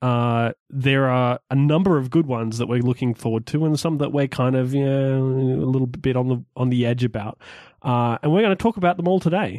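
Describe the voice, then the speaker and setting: Speaking fairly quickly with an Australian accent, a man keeps to a medium pitch and ordinary variation. The sound is dry and close with no echo, and the background is quiet. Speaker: podcast host. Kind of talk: casual chat.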